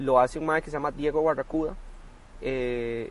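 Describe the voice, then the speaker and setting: With a Costa Rican accent, a man talks with ordinary pitch variation. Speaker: podcast host. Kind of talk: casual chat. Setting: parked car.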